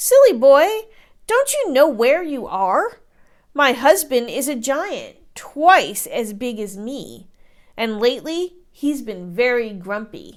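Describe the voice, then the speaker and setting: This woman uses a put-on character voice with a high pitch. Her pace is fairly slow. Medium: read story. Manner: scolding, bossy.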